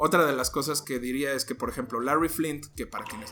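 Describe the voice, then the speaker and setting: A man talks. Behind him, music plays. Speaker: podcast host. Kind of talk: casual storytelling podcast. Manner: halting.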